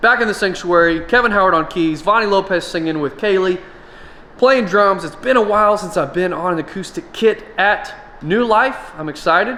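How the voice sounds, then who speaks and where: Noticeable background noise sits behind a man's raised, projected voice. His pitch is high, with ordinary variation. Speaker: church drummer and drum vlogger. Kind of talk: casual vlog. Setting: studio. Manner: fast.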